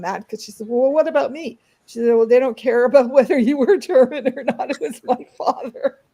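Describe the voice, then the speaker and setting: A woman talks at a fairly quick pace. Her voice is high in pitch with a dark, mellow tone. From Canada, Toronto. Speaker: artist and art history presenter. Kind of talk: casual interview. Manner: hesitant, many fillers.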